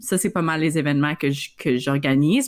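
Pitched very deep and low, a woman's voice shows ordinary pitch variation. The background is silent and the recording very clean. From Northern Ontario, Iroquois Falls. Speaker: podcast co-host. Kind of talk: casual chat.

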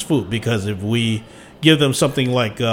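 Moving at a moderate pace, this is an unremarkable speaking voice. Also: man. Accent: American. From Washington D.C. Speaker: martial arts and lion dance teacher. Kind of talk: interview. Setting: studio.

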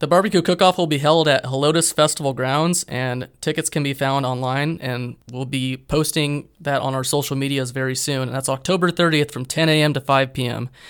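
Talking at a fairly quick pace, a man uses an ordinary speaking voice with fairly high pitch and ordinary pitch variation, on a very clean recording with a silent background. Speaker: civil engineer, alumni council officer. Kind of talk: casual chat.

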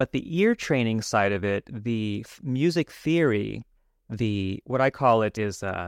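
This man has an unremarkable speaking voice, medium in pitch with ordinary pitch variation, with an American accent. The recording is very clean with a silent background and a dry, close sound with no echo. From Los Angeles, Hollywood. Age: 50s. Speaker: musician and music teacher. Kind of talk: podcast interview.

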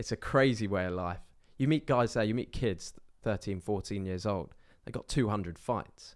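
A man talks in a normal speaking voice, pitched fairly low with ordinary pitch variation. The recording is very clean, with a silent background. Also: moderate pace. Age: 20s. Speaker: online business owner and men's coach. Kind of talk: casual chat.

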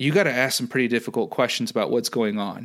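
A man's normal speaking voice at medium pitch with an American accent, on a very clean recording with a silent background. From US Midwest, St. Louis, Missouri. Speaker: analytics business manager. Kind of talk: casual interview. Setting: podcast.

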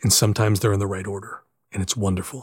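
On a very clean recording with a silent background, a man talks at a fairly quick pace in a somewhat breathy voice. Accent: American. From western Pennsylvania. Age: 50s. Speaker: PA announcer. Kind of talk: casual chat. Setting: home studio.

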